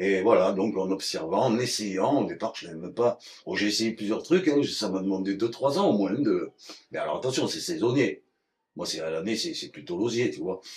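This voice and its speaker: A man at medium pitch and moderate pace, with lively intonation. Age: 60s. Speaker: basket maker. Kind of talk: craft demonstration interview. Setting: workshop. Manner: casual, hesitant with repetitions.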